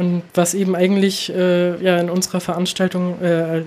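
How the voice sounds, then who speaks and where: The woman's voice is fairly low in pitch, with a dark, mellow tone. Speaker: concert booker. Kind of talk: casual chat.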